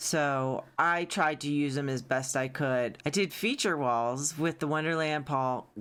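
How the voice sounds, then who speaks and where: The pace is fairly slow with ordinary pitch variation and very even loudness. It is a very clean recording with a silent background. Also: woman. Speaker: video game content creator. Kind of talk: casual build walkthrough.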